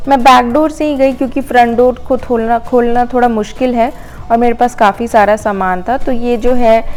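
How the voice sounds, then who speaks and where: A woman speaks in a high voice with hardly any pauses. Her intonation stays fairly even over background music. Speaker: lifestyle vlogger. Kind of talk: vlog voice-over narration. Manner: casual, hesitant fillers.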